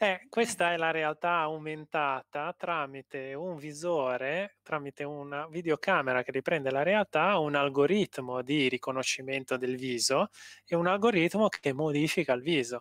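A man talks at a moderate pace in a fairly high pitch with ordinary pitch variation. The sound is dry with no echo, and the background is quiet. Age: 40s. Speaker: engineering researcher and lecturer; lecturer. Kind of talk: interview. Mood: friendly, enthusiastic.

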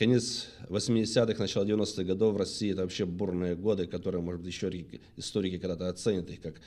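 The voice has a dark, mellow tone and fairly even intonation, moving at a moderate pace over a quiet background. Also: man. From Anapa, southern Russia; Russia. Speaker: former police detective turned businessman, book author; talk show guest. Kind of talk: testimony. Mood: serious, reflective storytelling. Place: studio. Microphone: studio mic.

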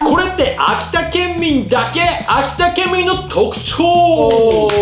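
The speech is very slow, with very wide pitch swings. Noticeable background noise runs underneath. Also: man, extremely high pitch for a man. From Akita, Japan. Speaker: blogger host. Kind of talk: casual talk to camera. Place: home room.

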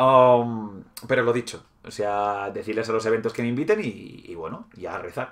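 A man in a Spanish accent speaks with fairly even intonation and big swings in loudness against a quiet background. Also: medium pitch for a man, moderate pace. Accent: Peninsular Spanish. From Spain. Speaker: gaming YouTuber. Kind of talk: livestream hobby tutorial chat. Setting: live stream. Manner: casual, hesitant with fillers. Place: home room. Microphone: webcam.

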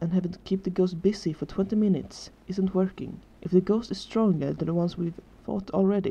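Intonation remains fairly even. The reading voice is unforced.

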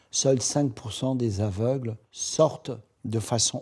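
A man speaks very slowly in a dark, mellow tone that is somewhat breathy, with fairly even intonation. The recording is very clean, with a silent background. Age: 70s. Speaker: association founder and president, blind. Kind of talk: promotional testimony.

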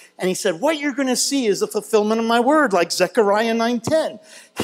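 Against a quiet background, a man talks at a moderate pace in an extremely high pitch. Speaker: missions teacher. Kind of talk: sermon-style teaching. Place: hall.

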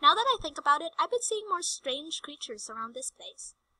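A squeaky put-on character voice, fairly quick, with very wide pitch swings and big swings in loudness, in a dry, close sound with no echo. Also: woman, extremely high pitch for a woman. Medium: game stream. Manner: detached, unbothered.

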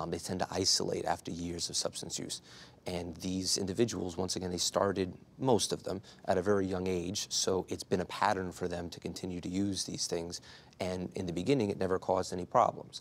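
A man's very deep, low voice at a fairly quick pace with monotone, flat intonation. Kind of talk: interview answer. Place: studio. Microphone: lapel.

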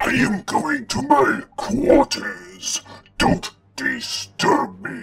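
An extremely high put-on character voice from a man, delivered at a very slow pace. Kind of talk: comic dub.

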